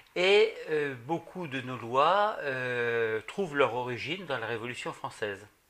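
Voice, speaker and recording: A man at a medium pitch, bright and sharp in tone, with lively intonation at a very slow pace. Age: 60s. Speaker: retired banker, association president. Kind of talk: interview at home. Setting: at his home. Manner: hesitant, with fillers.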